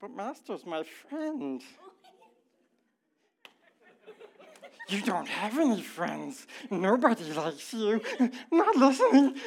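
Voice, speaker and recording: Put on as a character, the raspy, fairly high voice moves at a fairly slow pace with very wide pitch swings and long, frequent pauses. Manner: self-arguing.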